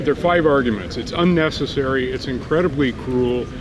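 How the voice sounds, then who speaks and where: Amid noticeable background noise and audible room echo, a man with a fairly high pitch talks at a moderate pace. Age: 60s. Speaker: passerby. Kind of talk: casual street conversation.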